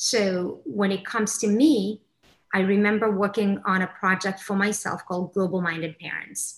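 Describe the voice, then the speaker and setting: A woman's somewhat breathy, medium-pitched voice at a moderate pace, with fairly even intonation. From Kenya, Somali family. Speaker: mindfulness facilitator. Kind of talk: casual chat.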